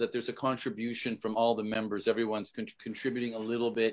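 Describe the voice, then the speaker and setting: In a very clean recording with a silent background, a man talks at a fairly quick pace in a normal speaking voice at medium pitch. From Canada. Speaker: podcast host and musician. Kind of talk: casual interview.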